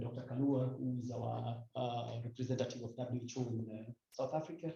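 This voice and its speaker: With a dark, mellow tone and a somewhat breathy quality, a man talks at medium pitch in a monotone, flat intonation, with audible room echo around him. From Kenya, Rift Valley. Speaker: WHO health official, panel speaker. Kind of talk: panel speech. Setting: indoor breakfast event at ambassador's residence. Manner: halting, many fillers.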